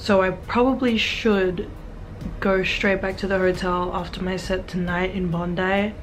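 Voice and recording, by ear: With an Australian accent, a woman talks at a fairly slow pace and medium pitch, her intonation fairly even over clear background noise.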